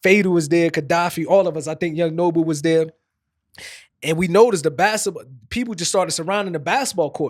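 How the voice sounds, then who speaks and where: At a fairly quick pace, a man with an East Coast US accent speaks at a high pitch with ordinary pitch variation. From New Jersey. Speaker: podcast host, former rapper. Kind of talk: casual chat.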